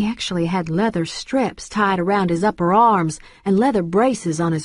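The speaker uses a natural reading voice. Pitch moves in an ordinary way.

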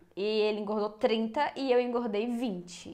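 A woman speaks at a fairly slow pace, her intonation lively. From Brazil. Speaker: YouTuber. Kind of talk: casual chat. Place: home room. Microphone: lapel.

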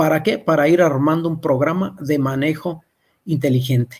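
Against a quiet background, a man speaks at a moderate pace. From Mexico. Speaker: agronomist; presenter. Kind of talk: webinar lecture. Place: home room. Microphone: webcam.

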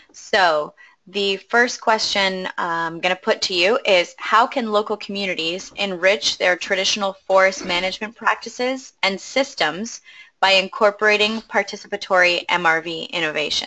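Moderate pace and ordinary pitch variation from a woman, a plain, everyday voice sitting at medium pitch. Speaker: webinar moderator. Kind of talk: webinar moderation. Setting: online webinar.

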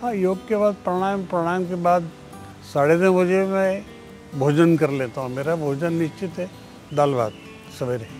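A man's high-pitched voice at a fairly slow pace with long, frequent pauses, dry with no echo, faint music behind. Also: ordinary pitch variation. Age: 80s+. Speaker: former politician and activist; interviewee. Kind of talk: interview. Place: garden.

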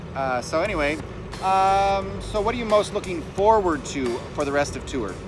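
A man speaks at a fairly slow pace with lively intonation. The sound is dry with no echo, and music plays in the background. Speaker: choir tour chaperone interviewer. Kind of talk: casual interview questions. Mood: playful, light-hearted. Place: street. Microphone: phone near.

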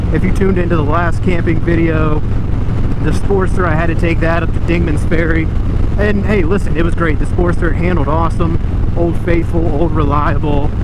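A man talks at a fairly quick pace over loud background noise. The sound is dry, with no echo. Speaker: motorcycle vlogger. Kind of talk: casual vlog chat. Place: motorbike.

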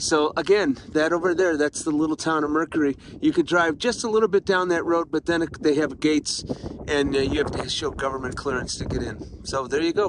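A man talks at a fairly quick pace with ordinary pitch variation, the sound dry with no echo and noticeable background noise. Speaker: travel vlogger. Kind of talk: casual vlog chat. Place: open country. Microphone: phone near.

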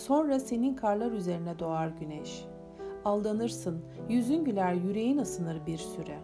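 Music runs in the background. A woman speaks fairly slowly. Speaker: poet. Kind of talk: poetry reading.

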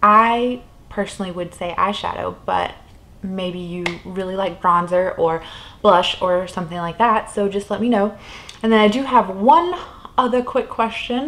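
A woman's voice with ordinary pitch variation at a moderate pace. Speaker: beauty vlogger. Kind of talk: casual vlog chat. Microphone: camera far.

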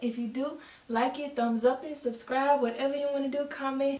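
Speaking at a moderate pace, a woman uses a high, monotone, flat delivery with audible room echo. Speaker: spoken word poet. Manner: casual and warm in the intro. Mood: emotional, earnest. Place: home room. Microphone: camera far.

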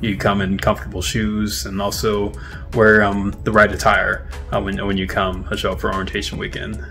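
Faint music plays in the background as a man with a fairly low pitch talks at a moderate pace, his pitch varying in an ordinary way. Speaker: intern vlogger. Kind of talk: casual vlog chat. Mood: upbeat, friendly. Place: home room. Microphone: phone near.

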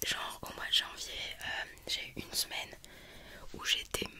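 Very slowly, a woman whispers. Light background noise is present. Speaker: video creator. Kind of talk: casual vlog chat. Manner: close-mic ASMR whisper, chatty. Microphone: studio mic.

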